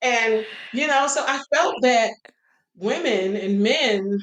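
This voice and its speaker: A woman with an unremarkable speaking voice uses ordinary pitch variation at a fairly high pitch. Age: 50s. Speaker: singer. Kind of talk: interview.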